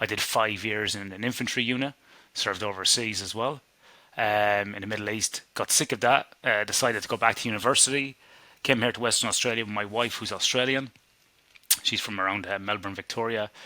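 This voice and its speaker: Fairly quick and fairly low-pitched, a man with an Irish accent speaks with a bright, sharp tone and fairly even intonation. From Ireland. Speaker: sleep scientist. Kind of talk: interview.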